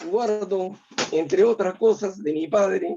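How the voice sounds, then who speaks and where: A man's high-pitched voice at a very slow pace. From Peru, Nazca. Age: 60s. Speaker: writer. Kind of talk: interview.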